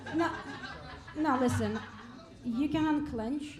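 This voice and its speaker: A woman speaks in a Russian accent. Noticeable background noise and audible room echo are present. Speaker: stand-up comedian. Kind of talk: stand-up. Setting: stage with audience.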